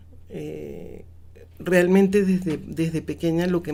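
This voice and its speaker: Her voice sits fairly low for a woman, and she talks fairly slowly in a monotone, flat intonation. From Mexico and Venezuela (25 years, from school age). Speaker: cultural management expert, lecturer. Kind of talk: radio interview.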